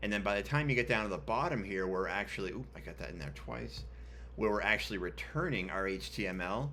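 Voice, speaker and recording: Over audible room echo, a man speaks very fast in a very deep, low pitch, his bright, sharp tone carrying vocal fry and very wide pitch swings. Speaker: web developer tutorial host. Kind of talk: screen-share coding tutorial. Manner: casual, many filler ums.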